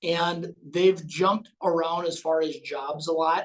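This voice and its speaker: This man talks at a fairly slow pace with a high pitch. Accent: American. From Minnesota, US. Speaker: financial advisor. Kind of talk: podcast interview.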